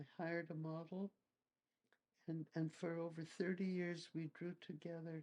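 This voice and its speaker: A woman speaks at a fairly slow pace in a fairly low pitch. Her tone is dark and mellow, with monotone, flat intonation. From Montreal, Canada. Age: 80s+. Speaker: painter and art teacher. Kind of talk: interview answer. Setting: at home.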